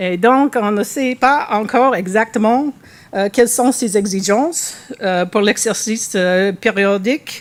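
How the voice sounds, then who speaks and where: Speaking very slowly, a woman with a non-native accent has a fairly high voice. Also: ordinary pitch variation. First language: English (speaking French). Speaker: animal welfare researcher. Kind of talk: conference presentation. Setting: workshop with audience. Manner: halting, many hesitations and restarts.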